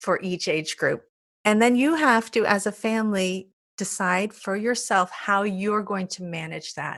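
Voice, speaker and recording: A woman's medium-pitched voice, bright and sharp in tone, with ordinary pitch variation, a fairly slow pace and a very clean recording over a silent background. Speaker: parenting podcast co-host. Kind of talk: casual chat.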